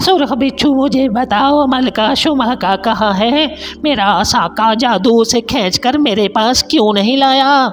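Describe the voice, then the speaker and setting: A man puts on a character voice with an extremely high pitch. His loudness stays very even, and background noise is clearly audible. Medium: read story. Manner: domineering, angry.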